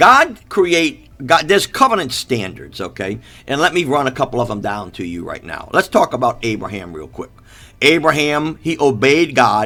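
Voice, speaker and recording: In a bright, sharp tone with vocal fry, a man speaks at a fairly high pitch, with very wide pitch swings and big swings in loudness. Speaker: preacher. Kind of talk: sermon. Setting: live stream. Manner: fast.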